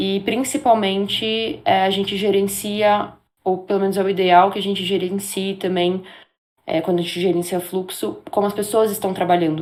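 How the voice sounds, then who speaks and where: With a plain, everyday voice, a woman talks at a medium pitch and moderate pace with fairly even intonation. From Brazil, São Paulo. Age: 20s. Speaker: games marketing project manager. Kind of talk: interview. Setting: live stream.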